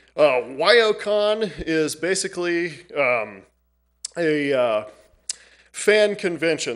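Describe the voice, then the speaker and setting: This man's intonation is lively. The background is quiet. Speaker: library staff presenting to council. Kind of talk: public presentation. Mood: friendly, slightly nervous. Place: hall. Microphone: podium.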